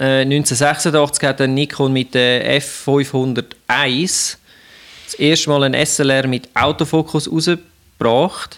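Speaking in a Swiss accent, a man has a fairly high pitch and fairly even intonation. His pace is very slow and his loudness very even. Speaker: podcast co-host. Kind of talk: casual chat with partly read-out history.

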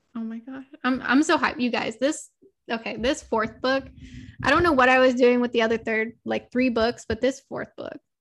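A woman speaks with a Californian accent at a high pitch. Her intonation is fairly even and her pace moderate. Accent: Californian American English. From Southern California, Los Angeles. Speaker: romance author. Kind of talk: casual interview chat.

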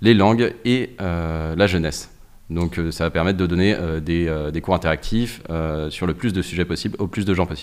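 A man talks at a fairly slow pace. His very deep, low pitch shows ordinary variation. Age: 30s. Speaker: tech company CTO. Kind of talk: interview.

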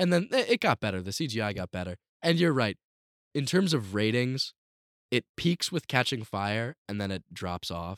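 A man's medium-pitched voice with very wide pitch swings at a moderate pace, on a very clean recording with a silent background. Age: young. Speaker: podcast co-host. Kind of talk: casual chat. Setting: home basement. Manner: animated.

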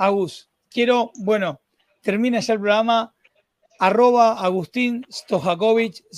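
In a Rioplatense accent, a man talks at a high pitch and a very slow pace. The sound is dry and close with no echo, and his pitch varies in an ordinary way. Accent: Argentine Spanish (rioplatense). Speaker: podcast host. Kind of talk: interview conversation. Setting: live stream. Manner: animated.

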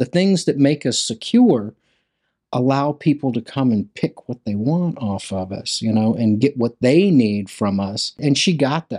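In a Mississippi accent, a man with a dark, mellow, medium-pitched voice speaks at a moderate pace with lively intonation, in a very clean, dry, close recording with a silent background and no echo. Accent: Southern US (Mississippi). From US South, Hattiesburg, Mississippi. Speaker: printmaker and artist. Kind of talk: interview.

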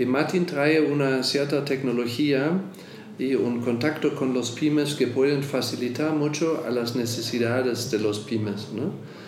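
A man with a medium-pitched voice speaks with fairly even intonation and very even loudness, over noticeable background noise and audible room echo. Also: fairly slow pace. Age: 50s. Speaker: insurance executive. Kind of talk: interview.

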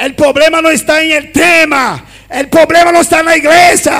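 Shouting at an extremely high pitch, a man delivers an animated tone at a fairly slow pace. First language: Spanish (speaking Portuguese). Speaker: pastor. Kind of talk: sermon.

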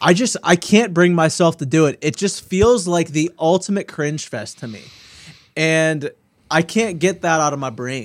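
On a very clean recording with a silent background, a man with a high pitch speaks at a moderate pace. His intonation is lively and his loudness swings widely. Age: 40s. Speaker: podcast co-host. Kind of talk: casual chat.

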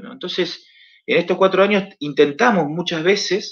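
A man's voice at a high pitch. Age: 30s. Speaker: pastor. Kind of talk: interview.

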